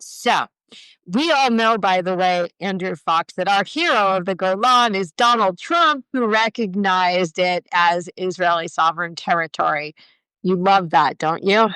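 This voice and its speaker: A woman speaks loudly at a fairly slow pace, with an American accent, a medium pitch and a bright, sharp tone. The sound is dry and close with no echo, on a very clean recording with a silent background. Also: ordinary pitch variation. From United States. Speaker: podcast co-host. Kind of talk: casual chat. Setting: live video stream. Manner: animated.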